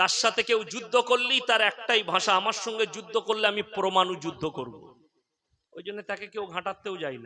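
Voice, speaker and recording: A man speaks in a raised, projected voice at high pitch, with ordinary pitch variation. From West Bengal, Bardhaman district. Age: 30s. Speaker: Islamic preacher. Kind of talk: sermon.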